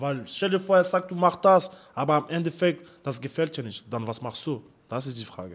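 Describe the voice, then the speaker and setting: With lively intonation and big swings in loudness, a man speaks at a moderate pace in a fairly high pitch. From France, Paris suburbs. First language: French (speaking German). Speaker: amateur fighter. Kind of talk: interview.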